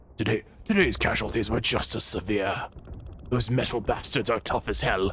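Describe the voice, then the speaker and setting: Over clear background noise, a man puts on a gravelly character voice. His pitch is medium and his pace moderate. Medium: role play.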